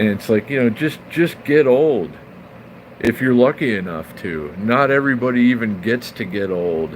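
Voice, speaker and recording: Speaking at a moderate pace with lively intonation, a man of medium pitch uses an American accent over noticeable background noise. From California. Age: 40s. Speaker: live streamer. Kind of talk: casual chat. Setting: live stream.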